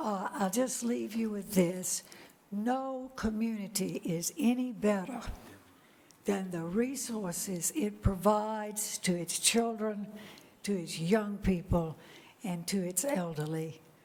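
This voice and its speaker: Speaking very slowly, a woman's medium-pitched voice shows ordinary pitch variation, with noticeable background noise and audible room echo. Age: 80s+. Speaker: retired sociology professor, public commenter. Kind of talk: public comment at council meeting. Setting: council chamber meeting.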